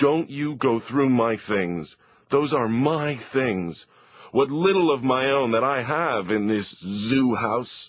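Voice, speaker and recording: A put-on character voice moves at a fairly slow pace with lively intonation. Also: man, medium pitch for a man. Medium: read story. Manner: scowling, irritable, shouting.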